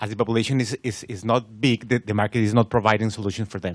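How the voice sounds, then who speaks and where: Heard in a dry, close sound with no echo, a man talks at a medium pitch. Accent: Spanish. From Colombia. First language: Spanish. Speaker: audience member. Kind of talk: question and answer comment. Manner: halting, repeats words.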